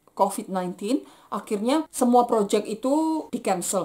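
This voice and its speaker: A woman in a Javanese accent, fairly high-pitched, lively in intonation, at a moderate pace. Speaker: vlogger, aerospace engineering graduate. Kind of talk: personal vlog testimony.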